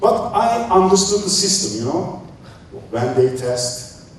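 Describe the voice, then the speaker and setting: Over noticeable background noise and audible room echo, a man speaks very slowly with a high pitch and lively intonation. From Turkey. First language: Turkish. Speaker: speaker on creative thinking. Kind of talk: talk to an audience. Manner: halting.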